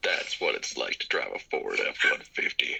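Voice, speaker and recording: Using a put-on character voice, a man talks in a raspy, extremely high pitch. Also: moderate pace. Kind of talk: commercial voiceover.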